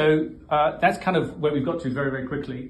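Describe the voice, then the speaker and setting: There is audible room echo and light background noise as a man talks fairly quickly with fairly even intonation. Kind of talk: speech at launch event. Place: hall. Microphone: phone near.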